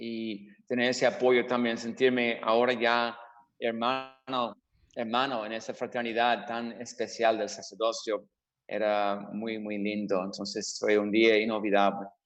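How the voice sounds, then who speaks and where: The speaker talks at a fairly slow pace in an English accent with monotone, flat intonation. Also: man, medium pitch for a man. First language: English (speaking Spanish). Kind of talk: radio interview. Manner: halting, repeats words.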